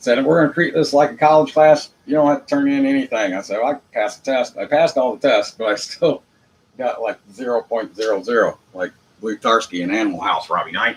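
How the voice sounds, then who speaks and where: Speaking at a fairly quick pace with an American accent, a man uses lively intonation at a fairly high pitch. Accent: Southern US redneck accent, self-described. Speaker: internet show host. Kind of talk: monologue rant. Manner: unpolished, casual.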